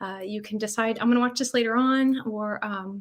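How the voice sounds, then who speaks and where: This woman speaks in an American accent at a fairly high pitch, with ordinary pitch variation. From US South, North Carolina. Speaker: UX designer. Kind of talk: conference talk. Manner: casual, with many fillers.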